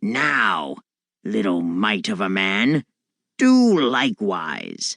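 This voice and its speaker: Growling in a put-on character voice, a man speaks very slowly at a fairly low pitch. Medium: read story. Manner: scornful, gruff.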